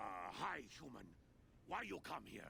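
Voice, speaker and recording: A raspy, put-on character voice moves at a moderate pace. Clear background noise runs behind it. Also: man. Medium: video game. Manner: broken grammar, simple phrasing.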